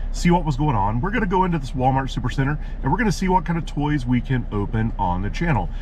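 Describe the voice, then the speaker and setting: Talking very fast with very wide pitch swings, a man is heard in a dry space with no echo and light background noise. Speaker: toy channel host. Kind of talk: casual vlog chat. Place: car. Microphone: phone near.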